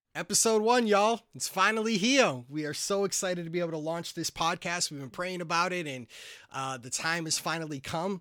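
On a very clean recording with a silent background, a man with an American accent talks at a fairly quick pace in a high, bright, sharp voice, with lively intonation and big swings in loudness. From Massachusetts. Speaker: pastor and marriage podcast co-host. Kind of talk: casual chat.

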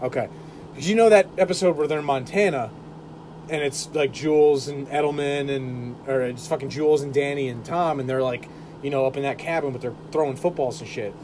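Noticeable background noise runs under this recording. A man talks at a fairly quick pace with a fairly high pitch and ordinary pitch variation. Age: 20s. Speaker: podcast host. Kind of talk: casual chat. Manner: animated.

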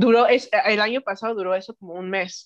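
A woman's unremarkable speaking voice at medium pitch, moderate pace and ordinary pitch variation, dry and close with no echo over a quiet background. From Mexico City and Knoxville, Tennessee. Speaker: spiritual practitioner. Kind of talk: interview.

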